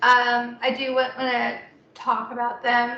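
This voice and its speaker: A woman's high-pitched, very slow, monotone, flat delivery amid audible room echo. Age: 20s. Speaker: poet. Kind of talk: poetry reading. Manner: halting.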